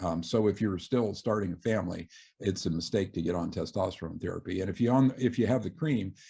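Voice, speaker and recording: Over a quiet background, a man talks at a very fast pace in a fairly low pitch, his dark, mellow tone somewhat breathy and his pitch varying in an ordinary way. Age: 60s. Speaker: surgeon and author. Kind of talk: interview. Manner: halting, many fillers.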